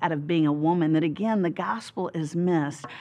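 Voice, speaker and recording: A woman speaks with a Southern US accent. Her pitch is fairly low, with ordinary variation. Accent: Southern American. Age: 50s. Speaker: Bible teacher. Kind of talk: interview answer. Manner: humorous, storytelling. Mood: warm, humorous. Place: studio.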